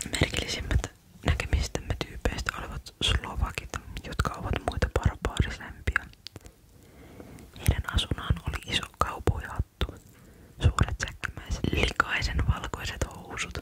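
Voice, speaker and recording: The voice is a whisper at a fairly slow pace. Noticeable background noise is present. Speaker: ASMR creator. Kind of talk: bedtime story reading. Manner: whispered, uneven reading pace.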